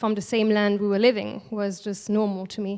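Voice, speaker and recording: A woman speaks with a French accent at a moderate pace. Her pitch sits fairly high. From France, Alsace. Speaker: artist. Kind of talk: panel talk. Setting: stage with audience.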